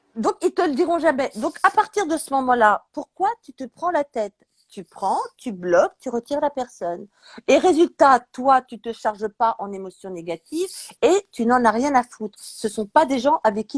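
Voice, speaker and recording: Delivered at a moderate pace, the speech shows very wide pitch swings and big swings in loudness. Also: woman, dry, close sound with no echo. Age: 60s. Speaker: chef. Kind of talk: casual chat. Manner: animated.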